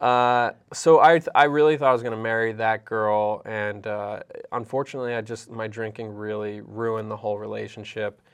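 In a plain, everyday voice, a man speaks at a fairly quick pace with fairly even intonation against a quiet background. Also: medium pitch for a man. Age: 30s. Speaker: comedian. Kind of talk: casual chat.

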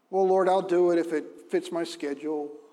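A man's high-pitched voice with a dark, mellow tone at a moderate pace. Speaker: pastor. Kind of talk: sermon. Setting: church. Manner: loud, animated.

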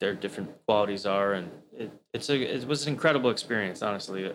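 Here is a man with a plain, everyday voice and an American accent, pitched fairly low. He talks at a fairly quick pace with fairly even intonation. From Maryland and US South. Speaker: chef and butcher. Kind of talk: casual chat.

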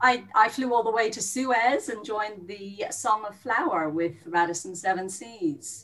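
In an Irish accent, a woman speaks fairly slowly with lively intonation and hardly any pauses. Noticeable background noise runs behind her. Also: fairly high pitch for a woman. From Ireland. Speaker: former cruise ship worker. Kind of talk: casual chat.

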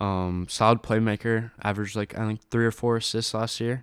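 On a very clean recording with a silent background and a dry, close sound with no echo, a man speaks at a moderate pace in monotone, flat intonation. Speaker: college basketball fan analyst. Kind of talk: casual sports chat.

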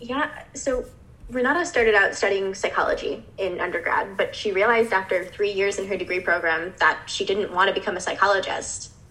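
A woman speaks fairly quickly with an American accent, her pitch medium and ordinarily varied. Noticeable background noise runs behind her. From Chicago, US Midwest. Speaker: graduate student co-host. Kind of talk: podcast discussion.

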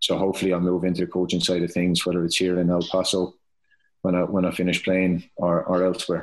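On a very clean recording with a silent background, a man with a Tipperary accent speaks very fast in a very deep, low, monotone voice with flat intonation. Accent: Irish (Tipperary). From Ireland, County Tipperary. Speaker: professional footballer. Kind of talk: casual interview.

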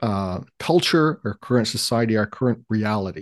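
A man with a Canadian accent has a plain, everyday voice at a medium pitch, speaking at a fairly slow pace with lively intonation. The background is quiet, and the sound is dry and close with no echo. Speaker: history podcast host. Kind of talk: casual interview conversation.

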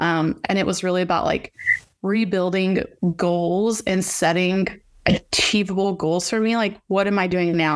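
The delivery holds a medium tempo and a fairly level intonation. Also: woman. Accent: Texan. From Texas, Fort Worth area. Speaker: ranch owner and ag association marketing manager. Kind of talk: interview.

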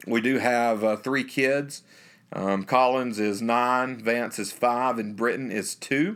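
A man with a Southern US accent talks at a fairly slow pace with fairly even intonation. The recording is very clean, the background silent. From US South, North Alabama. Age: 30s. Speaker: pulpit minister. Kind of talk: interview.

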